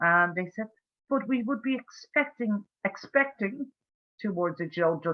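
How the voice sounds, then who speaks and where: A woman with an Irish accent and lively intonation. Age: 60s. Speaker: campaigner for institutional abuse survivors. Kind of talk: webinar Q&A discussion.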